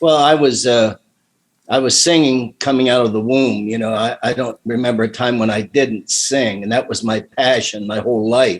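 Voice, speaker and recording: Moderately paced speech from a man of medium pitch with an American accent and fairly even intonation. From Ohio, US Midwest (Midvale area). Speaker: retired teacher and singer. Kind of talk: casual interview chat.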